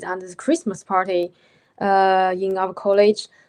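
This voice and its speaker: A woman with a Chinese accent, medium-pitched and at a fairly slow pace. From China. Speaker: postgraduate philosophy student. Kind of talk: panel discussion. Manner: halting.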